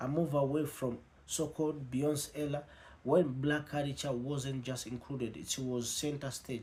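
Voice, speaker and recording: A man with a fairly high pitch speaks in a monotone, flat delivery that is somewhat breathy and fairly slow. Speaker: news commentary host. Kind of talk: scripted narration.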